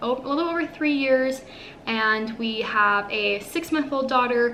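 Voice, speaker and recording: A woman with an American accent talks at a fairly slow pace, her voice fairly high with ordinary pitch variation. Noticeable background noise and audible room echo surround her. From Northern California. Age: 20s. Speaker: lifestyle vlogger. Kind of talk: casual chat.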